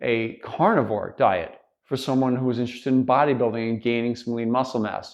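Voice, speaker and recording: A man with a normal speaking voice, medium pitch and moderate pace. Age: 60s. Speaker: bodybuilding coach and personal trainer. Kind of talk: casual vlog monologue. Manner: conversational with many fillers.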